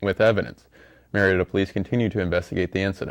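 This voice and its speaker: A man's fairly low, very fast speech in an American accent, dry and close with no echo. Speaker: college student news anchor. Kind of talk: newscast story reading.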